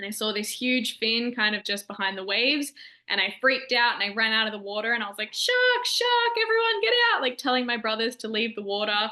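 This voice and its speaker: Talking with an Australian accent, a woman moves at a fairly quick pace. She takes hardly any pauses. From Australia, Melbourne. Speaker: shark research lab staff. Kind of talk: educational presentation to students. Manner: casual, upbeat.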